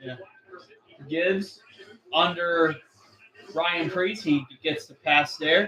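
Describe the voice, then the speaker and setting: The speech moves at a very slow pace, broken by long, frequent pauses, with big swings in loudness. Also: man, high pitch for a man. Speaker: livestream race commentator. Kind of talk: live commentary. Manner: animated.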